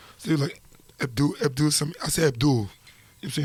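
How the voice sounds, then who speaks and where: Somewhat breathy, a man speaks at a very fast pace in a fairly high pitch. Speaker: rapper. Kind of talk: casual interview. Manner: animated.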